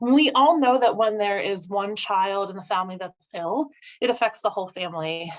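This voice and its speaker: A woman speaks at a moderate pace with ordinary pitch variation. She has a plain, everyday voice. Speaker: social worker. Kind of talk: webinar presentation.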